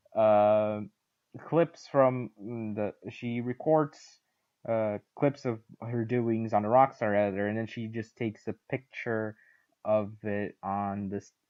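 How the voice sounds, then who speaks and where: A man talks at a very slow pace with fairly even intonation. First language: not English. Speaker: podcast co-host. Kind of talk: casual chat. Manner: halting.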